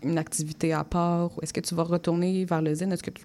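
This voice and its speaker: A woman talks fairly quickly at a fairly low pitch, her tone dark and mellow. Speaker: community radio host. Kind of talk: radio interview.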